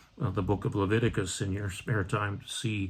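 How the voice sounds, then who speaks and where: A man talks at a fairly slow pace in a fairly low, somewhat breathy voice, on a very clean recording with a silent background. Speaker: Episcopal priest. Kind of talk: bible study talk. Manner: many hesitations (uh, um).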